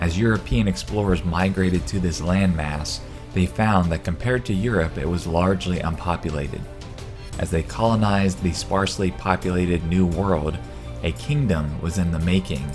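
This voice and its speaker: Over background music, a man with a very deep, low voice talks at a moderate pace, his loudness very even and his pitch varying in an ordinary way. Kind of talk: bible prophecy narration.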